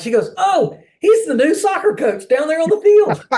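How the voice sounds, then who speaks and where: A man at a moderate pace. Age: 60s. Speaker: former goalkeeper, soccer player. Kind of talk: interview answer.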